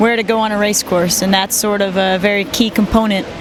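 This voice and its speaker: Over music in the background and audible room echo, a woman with a Midwestern American accent speaks at a moderate pace and medium pitch with fairly even intonation. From US Midwest, Detroit, Michigan. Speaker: sailor. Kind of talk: interview.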